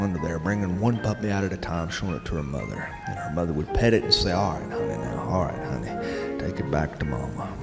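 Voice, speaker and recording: A man's very deep, low voice with an American accent, fairly quick and with hardly any pauses, lively intonation, and music in the background. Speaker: storyteller, columnist. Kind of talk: podcast reading listener letters.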